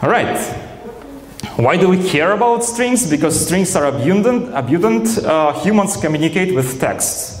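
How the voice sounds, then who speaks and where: A Russian accent at a moderate pace, with very wide pitch swings, very even loudness, audible room echo and noticeable background noise. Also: man, high pitch for a man. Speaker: software engineer, conference speaker. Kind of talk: conference talk. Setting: stage with audience. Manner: hesitant, many fillers.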